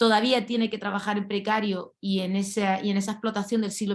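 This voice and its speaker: Here is a woman with a plain, everyday voice. She talks at a fairly quick pace with fairly even intonation. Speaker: lawyer and activist. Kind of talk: panel talk. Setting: video call.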